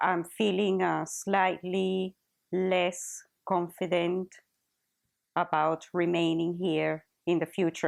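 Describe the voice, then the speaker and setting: Against a quiet background, a woman with a Spanish accent speaks at a fairly low pitch in monotone, flat intonation. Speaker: teacher. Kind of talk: interview testimony. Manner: halting.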